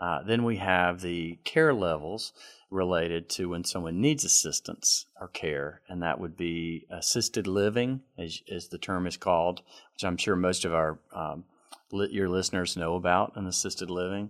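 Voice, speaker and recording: A man talks with a Southern US accent. His pitch is very deep and low, his pace moderate. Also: ordinary pitch variation. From South Carolina, Greenville. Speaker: CEO of senior living ministry. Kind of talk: interview.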